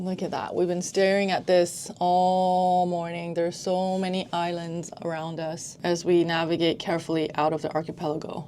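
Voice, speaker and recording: A woman with an American accent and an unremarkable speaking voice talks at a moderate pace and a medium pitch. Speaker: travel vlogger. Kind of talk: casual vlog narration. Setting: on a ferry.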